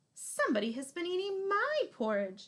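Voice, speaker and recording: At a moderate pace, a woman performs a squeaky, put-on character voice at an extremely high pitch with very wide pitch swings. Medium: read story. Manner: prim, proper.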